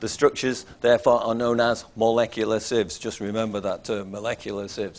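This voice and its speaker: Fairly quick speech in a Mancunian accent, monotone and flat, with hardly any pauses, in a very clean recording with a silent background. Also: man, medium pitch for a man. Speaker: chemistry lecturer. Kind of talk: lecture.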